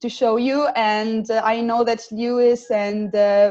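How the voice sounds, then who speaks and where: A woman talks in an Italian accent at a fairly high pitch. Her pace is fairly slow and her intonation fairly even. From Italy. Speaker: student program coordinator. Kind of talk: webinar. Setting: video call. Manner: halting, many fillers.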